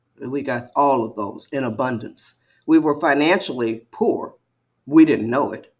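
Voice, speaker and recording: An American accent carries ordinary pitch variation at a fairly slow pace. Loudness swings widely. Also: woman, very deep, low pitch for a woman. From Detroit, Michigan. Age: 70s. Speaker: author. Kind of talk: interview. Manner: animated.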